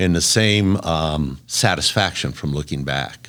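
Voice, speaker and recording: The speaker is a man with ordinary pitch variation. He talks at a fairly slow pace. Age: 70s. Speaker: construction company founder. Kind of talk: interview. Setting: podcast.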